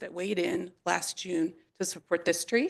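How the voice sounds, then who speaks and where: With an American accent, a woman speaks at a fairly low pitch with vocal fry. Her intonation is fairly even. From New York. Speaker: public commenter, professional planner. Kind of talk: public comment at council meeting. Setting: city council chamber. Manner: fast.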